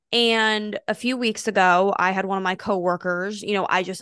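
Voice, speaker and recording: Loud woman's voice with an American accent, medium pitch, bright and sharp, at a moderate pace with fairly even intonation, dry and close with no echo against a quiet background. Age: 20s. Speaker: podcast host. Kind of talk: casual chat. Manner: loud talker.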